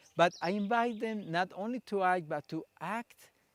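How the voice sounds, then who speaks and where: On a very clean recording with a silent background and a dry, close sound with no echo, a man speaks at a fairly slow pace with lively intonation. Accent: Spanish. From Colombia. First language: Spanish. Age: 60s. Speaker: theatre practitioner and psychologist. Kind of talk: conference talk.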